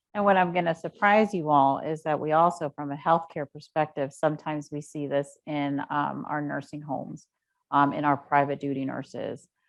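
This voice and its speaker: Against a quiet background, the speech moves at a moderate pace with fairly even intonation. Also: woman, very deep, low pitch for a woman. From Panama. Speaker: nurse. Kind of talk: educational presentation.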